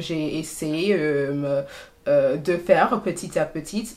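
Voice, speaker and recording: A woman's very deep, low voice in an English accent, at a very slow pace amid noticeable background noise. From Trinidad and Tobago. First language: English (speaking French). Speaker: PhD student. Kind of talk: casual interview. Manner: halting, many hesitations.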